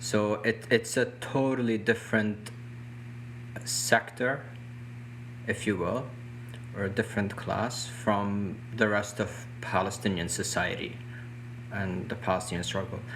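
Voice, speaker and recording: A man with a non-native accent, medium pitch, fairly even intonation, a fairly slow pace and long, frequent pauses. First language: not English. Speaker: activist. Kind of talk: interview discussion. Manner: halting, with restarts.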